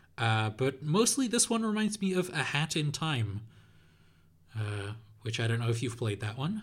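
Long, frequent pauses break up a man's somewhat breathy speech. His pitch swings very widely on a very clean recording with a silent background. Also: medium pitch for a man, moderate pace. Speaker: podcast host. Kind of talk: casual chat.

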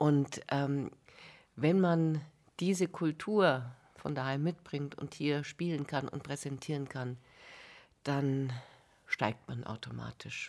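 On a very clean recording with a silent background, a woman with a very deep, low voice speaks very slowly, using ordinary pitch variation and long, frequent pauses. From Bavaria. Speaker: music journalist, cultural scientist. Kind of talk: radio interview. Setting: radio studio.

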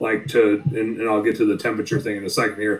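In a Wisconsin accent, a man talks with ordinary pitch variation. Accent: Upper Midwest (Wisconsin). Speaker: bookkeeper and business coach, deer hunter. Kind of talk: casual chat. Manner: animated.

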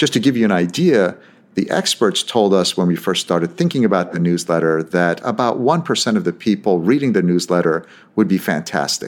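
A man with a very deep, low pitch, ordinary pitch variation and very even loudness at a fairly quick pace, on a very clean recording with a silent background. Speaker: podcast host, business advisor. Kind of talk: scripted monologue. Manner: scripted, polished delivery.

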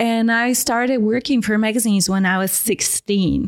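A woman speaks with a non-native accent at a moderate pace. Her intonation is fairly even. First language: not English. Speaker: fashion photographer and podcast host. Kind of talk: interview.

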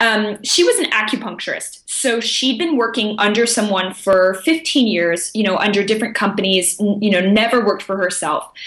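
A woman speaks at a fairly high pitch and a fairly quick pace, with ordinary pitch variation. Noticeable background noise runs underneath. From international upbringing (Japan, Germany, South Africa, Austria). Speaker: results coach. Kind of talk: interview.

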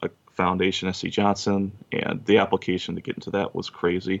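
A man with an Upper Midwest accent speaks at a fairly low pitch and a moderate pace. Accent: Upper Midwest American. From Wisconsin, Kenosha. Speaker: machinist and pizza delivery driver. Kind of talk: casual interview.

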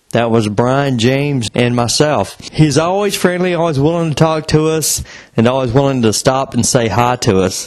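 A man speaks in an unremarkable speaking voice at a moderate pace. His intonation is lively. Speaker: podcast co-host. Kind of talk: podcast intro and outro.

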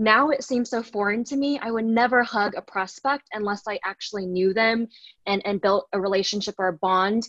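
In an American accent, a woman with a fairly high pitch and an unremarkable speaking voice talks at a moderate pace with ordinary pitch variation, the sound dry and close with no echo. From Texas, Dallas. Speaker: tech sales professional. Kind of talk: podcast interview.

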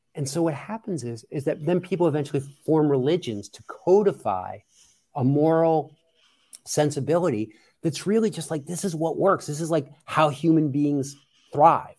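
A man with an American accent and an unremarkable speaking voice, fairly high in pitch with ordinary pitch variation, at a moderate pace with big swings in loudness, on a very clean recording with a silent background. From US, Philadelphia area. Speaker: podcaster and humanist community leader. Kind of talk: casual chat.

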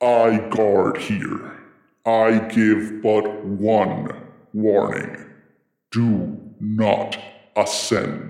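In a put-on character voice, a man booms at a fairly low pitch and a very slow pace. A slight echo can be heard. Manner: loud, imposing, warning.

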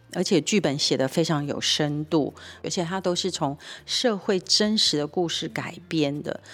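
A woman speaks with a fairly low pitch and ordinary pitch variation. Her pace is moderate. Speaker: nonprofit executive director and co-host. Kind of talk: casual radio chat about a TV drama. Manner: animated.

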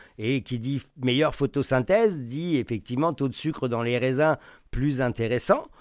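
Recorded very cleanly with a silent background and a dry, close sound with no echo, a man speaks in a plain, everyday voice at medium pitch, with ordinary pitch variation and a moderate pace. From France. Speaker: wine journalist and sommelier teacher. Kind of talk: interview.

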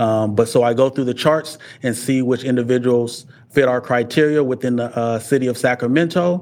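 In an American accent, a man talks at a fairly quick pace. It is a plain, everyday voice at a medium pitch. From US Midwest, Omaha, Nebraska. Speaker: violence intervention specialist. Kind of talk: interview.

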